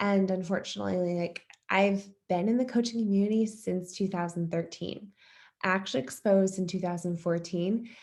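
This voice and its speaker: An American-accented woman has a normal speaking voice at a medium pitch. She keeps a moderate pace and fairly even intonation. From US East Coast. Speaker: fitness coach. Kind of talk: testimony.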